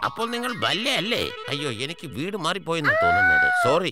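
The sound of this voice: With faint music in the background, a man does a fast, cartoonish character voice, high-pitched with a bright, sharp tone and very wide pitch swings.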